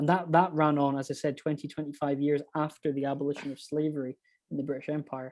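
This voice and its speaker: Speaking very fast in a Highland Scottish accent, a man with a fairly high pitch holds a monotone, flat intonation on a very clean recording against a silent background. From Scottish Highlands, Inverness. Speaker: historical society member. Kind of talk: casual interview chat. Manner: halting.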